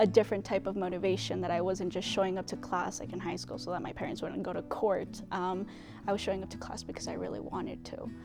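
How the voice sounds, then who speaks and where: With a Spanish accent, the speaker goes at a very fast pace, loudness swinging widely, over music in the background and audible room echo. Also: woman. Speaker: university student. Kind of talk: interview testimony. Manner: casual.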